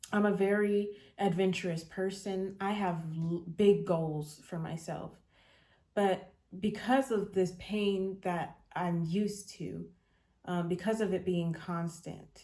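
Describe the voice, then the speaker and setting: Very slowly, a woman speaks at medium pitch in a dark, mellow tone with fairly even intonation. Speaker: podcast host. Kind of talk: personal reflective monologue. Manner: halting, many fillers.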